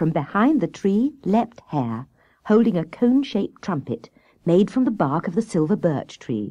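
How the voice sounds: A reading voice that sounds natural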